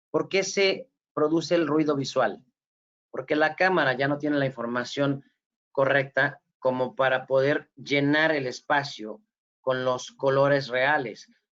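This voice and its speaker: In a plain, everyday voice, a man speaks at a fairly slow pace with fairly high pitch, fairly even intonation and very even loudness. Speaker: forensic photography instructor. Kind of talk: lecture. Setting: video call.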